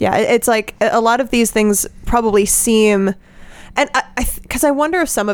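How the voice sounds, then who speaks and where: A woman's fairly high-pitched voice with an American accent. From Colorado. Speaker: MD PhD student. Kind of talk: casual group discussion.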